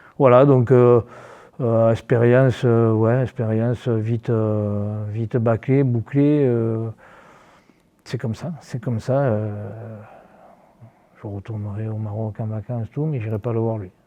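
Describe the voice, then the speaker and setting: Pausing long and often, a man talks at a very slow pace in a medium pitch with fairly even intonation. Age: 60s. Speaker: football coach. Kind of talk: interview. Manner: halting, many repetitions.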